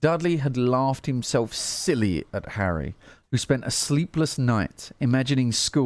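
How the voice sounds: This is a natural reading voice, and its pitch moves in an ordinary way.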